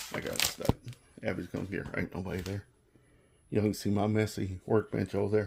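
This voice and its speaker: A man speaks with a fairly low pitch and a somewhat breathy voice. His intonation stays fairly even. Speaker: hobbyist custom decal maker. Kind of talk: tutorial. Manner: casual, rambling with fillers.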